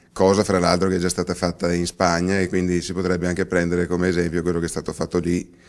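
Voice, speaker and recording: Against a quiet background, a man with a very deep, low pitch talks at a very fast pace in a monotone, flat delivery with hardly any pauses. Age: 40s. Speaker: politician. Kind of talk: interview. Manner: halting, many fillers and restarts.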